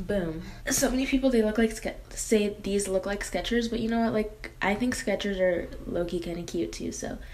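Speaking at a moderate pace with hardly any pauses, a woman shows ordinary pitch variation. Light background noise can be heard. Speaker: beauty vlogger. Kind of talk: casual vlog chat.

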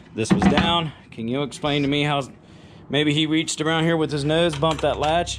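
Amid noticeable background noise, a man with an American accent speaks at a moderate pace and a fairly high pitch, with fairly even intonation. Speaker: farmer. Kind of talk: casual vlog narration. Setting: outdoors. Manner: casual.

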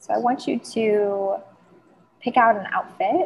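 A woman's somewhat breathy, calm and soothing voice at a fairly slow pace. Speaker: celebrity stylist, podcast host, business mentor. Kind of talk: guided meditation. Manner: slow, calm, soothing.

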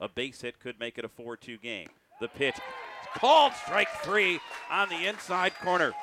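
At a moderate pace, a man with a high pitch speaks with very wide pitch swings and big swings in loudness, in a dry sound with no echo and with noticeable background noise. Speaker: baseball play-by-play announcer. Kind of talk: live play-by-play commentary. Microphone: headset.

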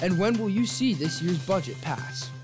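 A man is speaking. Music plays in the background. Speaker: student TV news anchor and reporter. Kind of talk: TV newscast anchor read.

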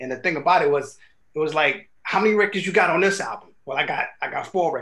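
A high-pitched man's voice, bright and sharp in tone, at a very fast pace. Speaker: hip hop producer; guest. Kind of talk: casual interview. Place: studio.

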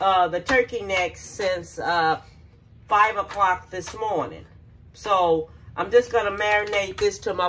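The voice moves at a fairly slow pace over light background noise. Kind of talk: casual cooking tutorial. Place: kitchen. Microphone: phone near.

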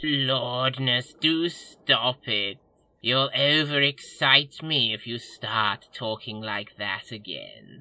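A man does a put-on character voice at medium pitch. He goes at a very slow pace over a quiet background. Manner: obsequious, gushing, over-excited.

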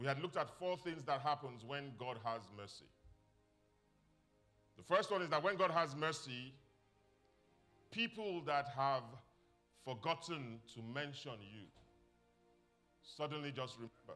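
A man speaks at a fairly slow pace, leaving long, frequent pauses. Faint music plays in the background. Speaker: pastor. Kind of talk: sermon. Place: church.

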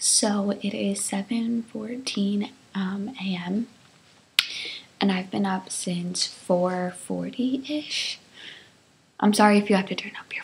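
A woman speaks quietly at a very slow pace with fairly even intonation. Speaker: vlogger. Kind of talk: casual vlog chat. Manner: hushed early-morning speech. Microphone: webcam.

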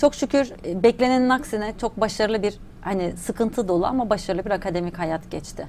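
Here a woman talks at a moderate pace. Light background noise can be heard. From Turkey, Adana; Turkey. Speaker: academic economist and theta healing trainer; theta healing trainer. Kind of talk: interview conversation. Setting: studio. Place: studio. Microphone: lapel.

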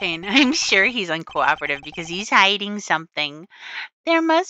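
Heard over a quiet background, the speaker reads in an unforced reading voice.

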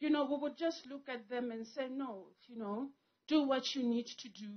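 Against a quiet background, a woman talks at a moderate pace with fairly even intonation. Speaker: family member giving tribute. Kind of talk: eulogy speech. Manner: emotional; halting. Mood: emotional, grieving. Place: tent. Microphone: handheld.

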